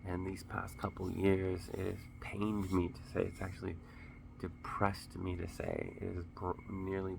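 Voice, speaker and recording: A man speaks at a moderate pace in a very deep, low pitch, somewhat breathy and monotone. Audible room echo surrounds his flat delivery. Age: 30s. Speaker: vlogger, dancer and Marine Corps veteran. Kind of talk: casual vlog talk to camera. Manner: halting, repeats words.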